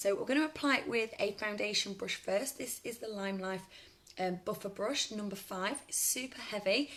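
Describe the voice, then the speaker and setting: A woman speaks at medium pitch in a British accent. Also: ordinary pitch variation. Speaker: makeup seller and beauty demonstrator. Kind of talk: live makeup tutorial and sales pitch. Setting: live stream on Facebook. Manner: fast; animated.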